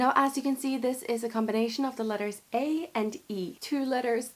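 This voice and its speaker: The speech runs at a fairly quick pace with ordinary pitch variation. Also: woman. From Scandinavia, Norway/Denmark. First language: Norwegian and Danish. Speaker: YouTuber, language teacher; language teacher vlogger. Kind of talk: tutorial. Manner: animated. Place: home room.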